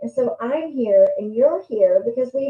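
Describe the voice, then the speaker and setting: A woman speaks with an American accent. Her voice is high-pitched. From US, West Texas (Lubbock). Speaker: livestream host, motivational speaker. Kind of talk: casual livestream talk. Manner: animated.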